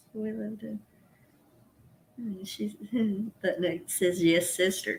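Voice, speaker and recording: A woman in a strong Southern accent, fairly low in pitch, at a fairly slow pace, with very wide pitch swings and big swings in loudness. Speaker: co-host. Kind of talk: casual live-stream chat.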